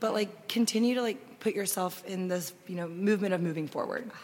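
A woman with an American accent speaks at a medium pitch, with ordinary pitch variation. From Austin, Texas. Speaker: food and travel blogger. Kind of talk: casual interview chat. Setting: live recording at festival.

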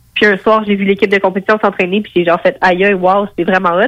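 A woman with an unremarkable speaking voice talks at a fairly quick pace in a medium pitch, her intonation fairly even, in a dry, close sound with no echo. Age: 20s. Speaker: professional boxer. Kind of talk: interview.

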